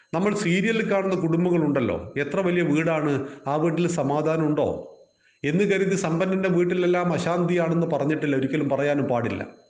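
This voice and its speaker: Noticeable background noise and audible room echo surround a voice held at very even loudness. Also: man, high pitch for a man, ordinary pitch variation. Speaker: Gita teacher. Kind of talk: religious lecture. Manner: measured, phrase by phrase.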